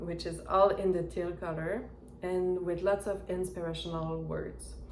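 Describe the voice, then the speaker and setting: A woman talks at a fairly slow pace. She speaks with a non-native accent. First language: not English. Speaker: knitting reviewer. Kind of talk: product review talk to camera. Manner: hesitant.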